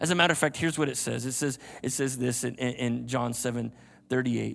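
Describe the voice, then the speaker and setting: A man with an American accent at a very fast pace, in a very clean recording with a silent background. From US Southeast. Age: 50s. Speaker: guest preacher. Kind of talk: sermon. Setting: church with live audience. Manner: animated.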